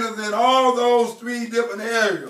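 Audible room echo surrounds a man's raised, projected voice. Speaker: preacher. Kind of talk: sermon. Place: church.

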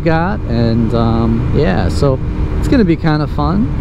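Recorded with a dry sound and no echo, a man talks over noticeable background noise. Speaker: commuter vlogger. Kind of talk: casual vlog chat. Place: motorbike.

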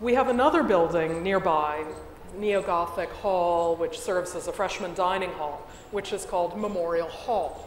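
An American-accented woman at medium pitch and moderate pace, with ordinary pitch variation, audible room echo and light background noise. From United States. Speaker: history professor. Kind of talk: panel discussion. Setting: stage with audience. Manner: articulate, formal. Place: stage. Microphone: lapel.

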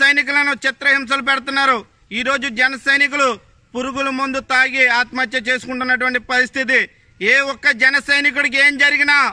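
In a raised, projected voice, a man speaks at an extremely high pitch with a bright, sharp tone and monotone, flat intonation against a quiet background. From Andhra Pradesh, Konaseema (Razole); Andhra Pradesh. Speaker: political party activist. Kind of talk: political warning speech to camera; angry political statement to camera. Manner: forceful. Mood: angry, warning. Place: garden. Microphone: phone near.

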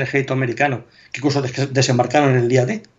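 A man talks at medium pitch and a fairly quick pace, sounding somewhat breathy. The background is quiet. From Spain. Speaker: military history blogger; guest. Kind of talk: casual interview chat. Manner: hesitant, with repetitions. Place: home room. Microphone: video call.

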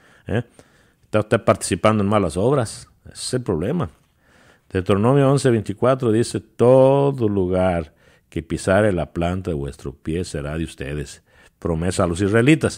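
On a very clean recording with a silent background, a man with a fairly low voice talks at a moderate pace, his intonation lively and his loudness swinging widely. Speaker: preacher. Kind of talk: sermon. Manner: halting, repeating words as he searches for phrasing.

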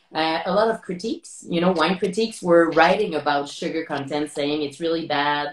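Moderate pace and ordinary pitch variation, with audible room echo. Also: woman. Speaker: interviewer, wine host. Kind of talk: interview conversation. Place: home room. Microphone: video call.

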